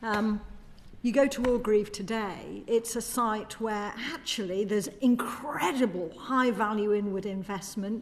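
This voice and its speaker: Against noticeable background noise, a woman speaks fairly slowly at a fairly high pitch with fairly even intonation. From northern England, Yorkshire (Doncaster). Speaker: manufacturing research organisation policy director. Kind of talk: parliamentary committee testimony.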